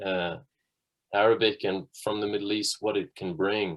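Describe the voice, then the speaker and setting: A man with a Dublin accent speaks at a moderate pace, his fairly low pitch showing ordinary variation. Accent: Irish (Dublin). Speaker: musician. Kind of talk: interview.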